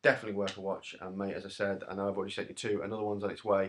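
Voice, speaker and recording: A man's fairly low voice at a very fast pace. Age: 30s. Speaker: YouTuber, Blu-ray collector. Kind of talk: casual video update.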